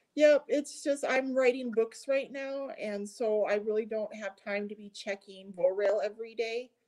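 Using an ordinary speaking voice, a woman with a fairly high pitch and ordinary pitch variation speaks at a moderate pace with big swings in loudness. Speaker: video show host. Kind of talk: casual interview chat.

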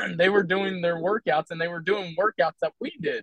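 Delivered with fairly even intonation, the speech comes in an American accent. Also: man. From Philadelphia, US. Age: 40s. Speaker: men's workout group member. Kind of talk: podcast interview.

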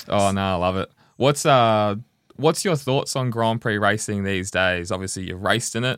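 With an Australian accent, a man speaks at a fairly low pitch and moderate pace. His pitch varies in an ordinary way, on a very clean recording with a silent background. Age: 20s. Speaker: podcast co-host. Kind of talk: casual interview.

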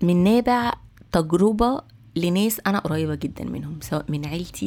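A woman with an Egyptian accent at a fairly quick pace. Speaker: podcast host. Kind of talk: solo podcast monologue.

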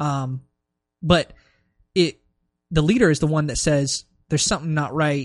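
A man with an American accent and a fairly high pitch, at a moderate pace with ordinary pitch variation, long, frequent pauses and a dry, close sound with no echo. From US, Maryland. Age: 20s. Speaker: business school student. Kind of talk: casual chat.

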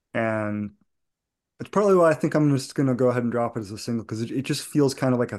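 Against a quiet background, a man with an American accent and an unremarkable speaking voice talks with ordinary pitch variation. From New England (outside Boston). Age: 40s. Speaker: bluegrass musician. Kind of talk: casual interview chat.

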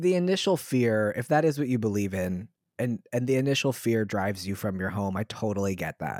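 An American-accented man talks at a fairly quick pace with lively intonation. The recording is very clean, with a silent background and a dry, close sound with no echo. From US South, Southern Maryland. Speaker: podcast co-host. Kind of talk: casual chat. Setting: home recording room.

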